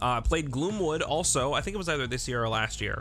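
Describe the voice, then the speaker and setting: Over music in the background, a man of medium pitch talks at a fairly quick pace with ordinary pitch variation. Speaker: gaming YouTuber. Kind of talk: casual talk to camera. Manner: casual, profane.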